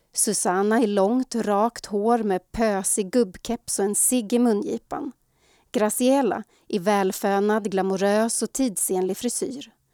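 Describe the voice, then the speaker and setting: A dark, mellow voice with a Swedish accent speaks at a fairly slow pace, the sound dry and close with no echo, on a very clean recording with a silent background. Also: woman. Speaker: podcast host. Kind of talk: scripted narration.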